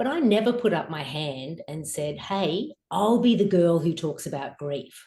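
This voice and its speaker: Somewhat breathy, a woman with an Australian accent speaks in a dark, mellow tone. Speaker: author and grief guide. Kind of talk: interview testimony.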